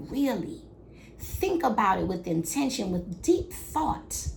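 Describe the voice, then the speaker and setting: Loud and at a very slow pace, a woman speaks with very wide pitch swings and audible room echo. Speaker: midwife and podcast host. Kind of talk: motivational podcast monologue. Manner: loud, energetic.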